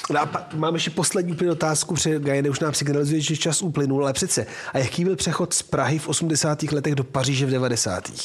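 A man's very fast speech, very even in loudness and fairly even in intonation, over noticeable background noise. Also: fairly high pitch for a man, hardly any pauses. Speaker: podcast co-host, art historian. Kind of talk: casual chat.

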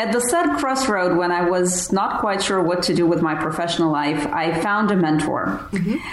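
A woman's lively, up-and-down voice at a moderate pace, with very even loudness, hardly any pauses and noticeable background noise. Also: medium pitch for a woman. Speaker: productivity and business systems consultant. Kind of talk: interview.

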